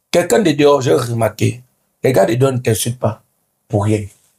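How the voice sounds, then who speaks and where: With a dark, mellow tone and a somewhat breathy quality, a man speaks at medium pitch with ordinary pitch variation and a fairly quick pace. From Cameroon. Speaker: comedian. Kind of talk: interview. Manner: animated.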